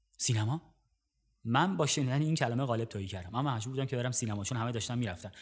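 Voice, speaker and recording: A man is speaking. His voice is somewhat breathy. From Iran, Gorgan. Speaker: podcast host, cinema narrator. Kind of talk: scripted narration; personal storytelling.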